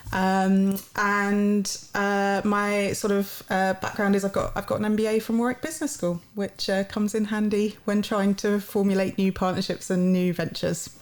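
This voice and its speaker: With a London accent, a woman speaks with hardly any pauses and very even loudness. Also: medium pitch for a woman, fairly even intonation, moderate pace. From London, England. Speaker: university partnerships head. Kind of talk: podcast interview. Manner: hesitant, many fillers.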